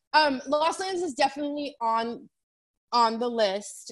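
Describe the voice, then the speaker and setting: Her American accent comes through as a woman speaks with ordinary pitch variation. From San Diego, California. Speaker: music booking agent. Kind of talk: interview.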